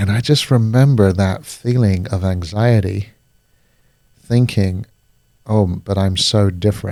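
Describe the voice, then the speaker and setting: Using a fairly low pitch and fairly even intonation, a man with a dark, mellow tone speaks at a fairly slow pace with long, frequent pauses. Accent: British. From Singapore, then Paris (international schools). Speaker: life coach. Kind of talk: casual conversation.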